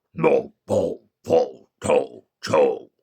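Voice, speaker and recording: A man performs a put-on character voice. His pitch is extremely high for a man. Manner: grunting, gibberish.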